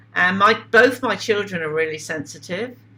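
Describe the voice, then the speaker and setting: A woman with a British accent swings her pitch very widely. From southern England (Wiltshire). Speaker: spiritual teacher and contactee. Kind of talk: interview.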